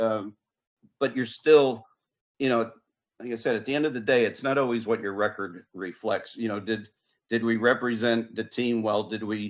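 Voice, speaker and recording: At a moderate pace, a man talks in a normal speaking voice with medium pitch and fairly even intonation. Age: 60s. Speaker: football head coach. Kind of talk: interview.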